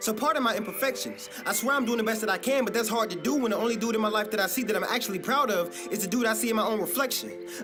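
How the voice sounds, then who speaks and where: A man speaks at a very fast pace with hardly any pauses, his pitch high and his pitch variation ordinary. Music plays in the background. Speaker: spoken word poet. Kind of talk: slam poetry performance.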